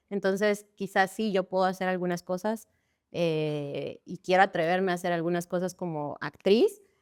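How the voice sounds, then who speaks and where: A woman's plain, everyday voice at medium pitch, with fairly even intonation and a moderate pace, in dry, close sound with no echo on a very clean recording with a silent background. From Guatemala. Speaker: actress and stunt performer. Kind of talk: casual interview chat.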